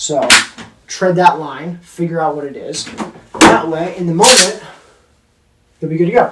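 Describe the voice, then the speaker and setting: Big swings in loudness, ordinary pitch variation and long, frequent pauses, all with audible room echo. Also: man, high pitch for a man. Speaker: firearms instructor, Marine veteran. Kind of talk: tutorial. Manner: fast; casual, filler-heavy.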